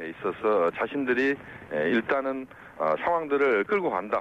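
Speaking at a fairly slow pace, a man uses a normal speaking voice at medium pitch. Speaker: professor. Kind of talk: phone interview. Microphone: unstable connection.

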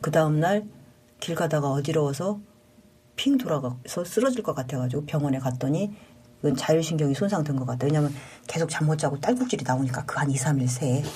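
Her voice is dark, mellow and somewhat breathy, with a very deep, low pitch. The woman talks at a fairly quick pace with lively intonation. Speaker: paramedic station chief. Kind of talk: interview testimony.

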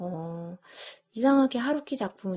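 Her intonation is lively and her voice is somewhat breathy. The woman is heard on a very clean recording with a silent background. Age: 30s. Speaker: podcast host. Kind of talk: casual monologue.

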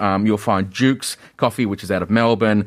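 With an Australian accent, a man talks at a very fast pace with fairly even intonation. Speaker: business chamber executive. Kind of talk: radio interview. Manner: hesitant, many fillers.

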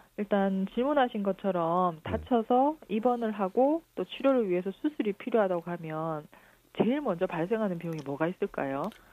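With very wide pitch swings around a medium pitch, a woman speaks at a moderate pace in a dry, close sound with no echo. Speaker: lawyer. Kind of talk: legal advice segment.

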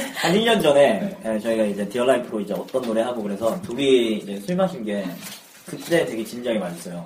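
With very wide pitch swings around a medium pitch, a man talks at a very fast pace over noticeable background noise. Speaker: musician. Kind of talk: casual chat. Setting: studio.

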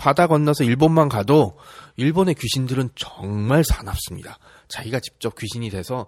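A man with a normal speaking voice talks at a fairly quick pace in a medium pitch. The recording is very clean with a silent background and a dry, close sound with no echo. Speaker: history podcast host. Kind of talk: casual history storytelling. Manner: conversational, chatty.

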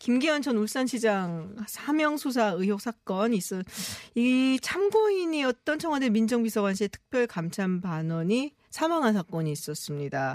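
At a fairly slow pace, a woman with a fairly high pitch speaks with very wide pitch swings, in a dry, close sound with no echo. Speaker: radio host. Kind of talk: radio news talk show. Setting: radio studio.

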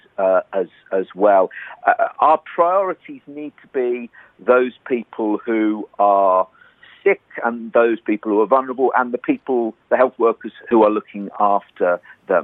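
With a British accent, a man speaks at a fairly slow pace and a medium pitch. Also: ordinary pitch variation. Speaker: nurse leader, international health organisation head. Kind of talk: news interview.

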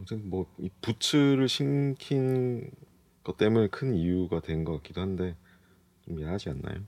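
Swinging very widely in pitch, a man talks at a fairly slow pace. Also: fairly low pitch for a man. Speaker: fashion editor. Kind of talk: casual studio chat. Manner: terse, says little.

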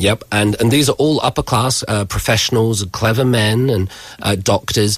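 In an English accent, a man speaks at a moderate pace with a fairly low, somewhat breathy voice and ordinary pitch variation. The recording is very clean, with a silent background. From England. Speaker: university professor. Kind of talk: book discussion on radio.

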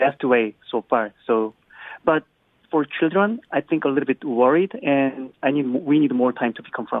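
A man speaks at a moderate pace with a Korean accent. His pitch sits in the medium range. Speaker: caller. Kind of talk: casual phone chat. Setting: phone call. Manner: halting.

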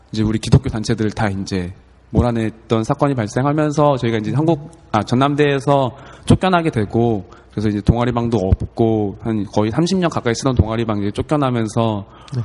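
Over noticeable background noise, a man talks fairly quickly at a medium pitch with ordinary pitch variation. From South Korea, Gwangju. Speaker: campus ministry staff trainee. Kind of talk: casual chat.

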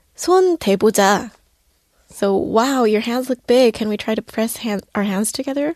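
With a Korean accent, a woman speaks at a fairly high pitch and a moderate pace, her intonation lively. The sound is dry and close with no echo, over a quiet background. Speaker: young Korean commentator. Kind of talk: radio segment chat.

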